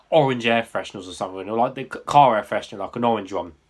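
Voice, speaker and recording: In an English accent, a man speaks at a very fast pace. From England. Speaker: YouTube drink reviewer; drink reviewer. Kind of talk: product review; casual review chat. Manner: casual, hesitant with fillers. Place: home room. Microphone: webcam.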